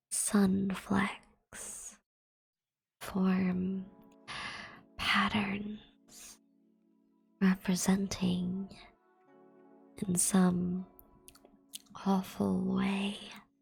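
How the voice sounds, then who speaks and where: Long, frequent pauses in very slow speech, with music in the background. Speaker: VTuber ASMR streamer. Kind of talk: ASMR short story reading. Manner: whispered.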